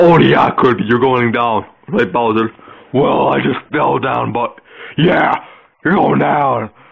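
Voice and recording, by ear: A cartoonish character voice moves at a slow pace. It carries vocal fry and a slightly husky edge. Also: man, medium pitch for a man, ordinary pitch variation.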